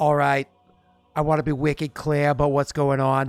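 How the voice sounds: A man's put-on character voice, fairly high in pitch, with monotone, flat intonation. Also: moderate pace. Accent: Boston.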